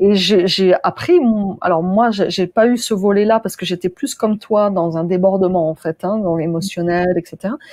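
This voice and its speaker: With an ordinary speaking voice, a woman talks at moderate pace and medium pitch, her intonation fairly even and the sound dry and close with no echo. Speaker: interviewer. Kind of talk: interview host, conversational.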